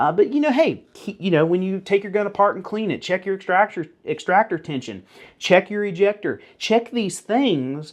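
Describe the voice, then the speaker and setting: Over a quiet background, the speaker uses lively intonation in a Southern US accent. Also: man. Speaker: firearms YouTuber. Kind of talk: informal tutorial. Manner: casual, animated.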